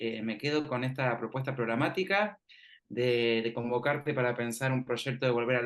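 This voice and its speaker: Fairly slow speech with a Rioplatense accent, ordinary pitch variation, and a quiet background. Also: man. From Argentina, Mar del Plata. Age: 30s. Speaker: university researcher, interviewer. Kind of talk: interview conversation.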